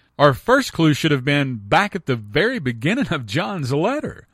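Heard in a dry, close sound with no echo on a very clean recording with a silent background, a man uses a plain, everyday voice pitched fairly high. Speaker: radio Bible teacher. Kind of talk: radio teaching on scripture. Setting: radio studio. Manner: earnest, didactic.

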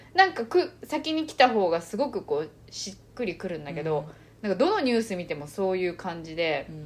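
Speaking at a fairly quick pace, a woman swings very widely in pitch and makes big jumps in loudness against noticeable background noise. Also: medium pitch for a woman. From Japan, born in China and moved young. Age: 30s. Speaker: podcast co-host. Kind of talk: casual chat. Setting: recording in person together.

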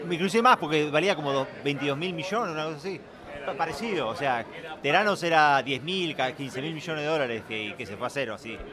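With an Argentine accent, a man speaks at a fairly quick pace and a fairly high pitch, with lively intonation over noticeable background noise. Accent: Argentine Spanish (Rioplatense). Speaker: conference speaker. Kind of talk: casual chat. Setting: restaurant.

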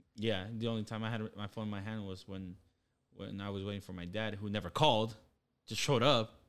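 A man with an ordinary speaking voice and a fairly low pitch keeps his intonation fairly even in a very clean recording with a silent background. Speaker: podcast co-host. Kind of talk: casual chat.

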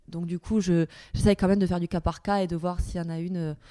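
Her voice is fairly low for a woman, with a dark, mellow tone and monotone, flat intonation. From southern France, Perpignan. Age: 30s. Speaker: dancer and choreographer. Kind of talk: interview. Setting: dance studio.

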